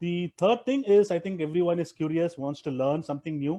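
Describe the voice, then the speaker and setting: A man with a Tamil accent, fairly high in pitch with ordinary pitch variation, a dark, mellow tone, a fairly quick pace and a dry, close sound with no echo. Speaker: private equity investor and traveler. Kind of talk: interview. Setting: live video stream. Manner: halting, many fillers and restarts.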